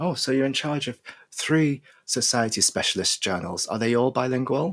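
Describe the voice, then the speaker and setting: A man's normal speaking voice, medium in pitch with ordinary pitch variation, at a moderate pace. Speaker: podcast host. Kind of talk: interview host questions. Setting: studio.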